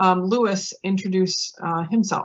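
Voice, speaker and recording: A woman at medium pitch with fairly even intonation and a moderate pace. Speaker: pre-health advisor. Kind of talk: virtual info session presentation. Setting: virtual event. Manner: talkative.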